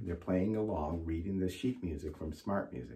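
Somewhat breathy, a man talks at a fairly low pitch with very wide pitch swings. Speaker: band teacher. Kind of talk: tutorial intro to students. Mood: warm, friendly.

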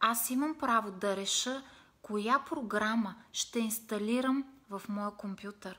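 Her pitch fairly high, a woman talks at a very slow pace with fairly even intonation. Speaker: meditation and self-help vlogger; self-help vlogger. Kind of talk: motivational live video talk. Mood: calm, warm, expressive. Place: home room. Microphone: phone near.

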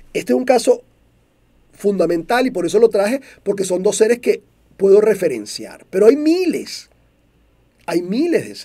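A dark, mellow tone in a Venezuelan accent, with lively intonation, big swings in loudness and long, frequent pauses, over a quiet background. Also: man, high pitch for a man, moderate pace. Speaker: motivational speaker. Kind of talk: monologue talk show. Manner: clear and direct. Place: studio. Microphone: studio mic.

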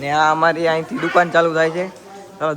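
Noticeable background noise runs behind a man whose pitch is fairly high. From Gujarat, India. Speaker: vlogger. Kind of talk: casual vlog tour. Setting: outdoors on family farm. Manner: animated.

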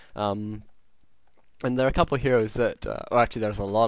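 At a fairly quick pace, a man with a fairly low pitch speaks in a very clean recording with a silent background. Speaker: game commentator. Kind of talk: esports commentary. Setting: recorded audio commentary over a replay. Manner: fluent play-by-play, explaining moves as they happen; measured, with frequent filler 'um' and 'uh'.

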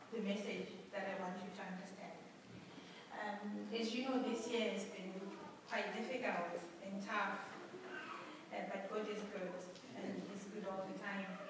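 Amid strong room echo and noticeable background noise, a woman speaks at a fairly slow pace with long, frequent pauses. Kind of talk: testimony address to congregation. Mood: grateful, earnest. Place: church. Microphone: camera far.

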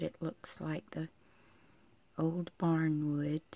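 At a very slow pace, the voice comes through with a dry sound and no echo. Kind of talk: tutorial. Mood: calm, relaxed.

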